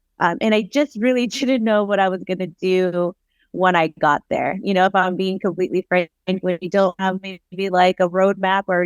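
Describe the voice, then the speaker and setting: At a moderate pace, a woman speaks at medium pitch with fairly even intonation, in a dry, close sound with no echo. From Southern California, Oxnard. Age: 30s. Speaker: psychotherapist. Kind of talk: podcast interview.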